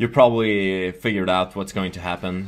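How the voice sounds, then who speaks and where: A man with a Swedish accent, at a fairly slow pace. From Sweden. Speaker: gaming youtuber. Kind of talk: gameplay commentary. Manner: halting.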